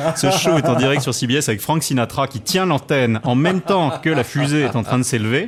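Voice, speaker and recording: Talking fairly quickly with hardly any pauses, a man with a fairly high pitch uses ordinary pitch variation while noticeable background noise plays. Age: 40s. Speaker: music columnist and author. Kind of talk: radio interview. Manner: animated storytelling.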